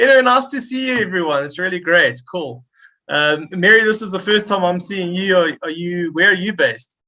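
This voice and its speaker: A man speaks in a raised, projected voice at a high pitch and fairly quick pace, with a bright, sharp tone and lively intonation. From South Africa, Durban. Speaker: Zendesk consultant. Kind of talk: casual team meeting introduction. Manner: hesitant, many fillers.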